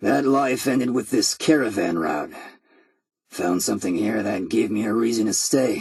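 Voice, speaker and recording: Putting on a character voice, a raspy man talks at a moderate pace in a medium pitch with lively intonation. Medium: video game. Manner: sardonic, dry humor.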